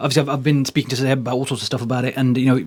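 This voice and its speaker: The speaker is a man. His voice is fairly high in pitch. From Rawalpindi, Pakistan (Punjabi). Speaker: boxing interviewer. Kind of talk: interview.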